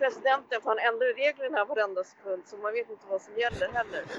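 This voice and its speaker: A woman speaks in an unremarkable speaking voice, fairly high in pitch, at a moderate pace with ordinary pitch variation. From Sweden, Tyresö near Stockholm. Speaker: graffiti artist. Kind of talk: casual interview. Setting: remote call over hotspot. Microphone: poor sound.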